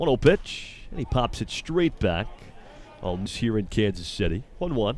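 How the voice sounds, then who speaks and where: Music sounds in the background while a man talks fairly slowly. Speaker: baseball play-by-play announcer. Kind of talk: live sports commentary, play-by-play of a baseball game.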